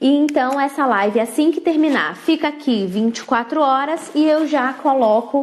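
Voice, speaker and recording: The pace here is fairly slow. This woman's pitch varies in an ordinary way. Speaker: parenting educator and mentor. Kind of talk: live stream talk. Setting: Instagram live.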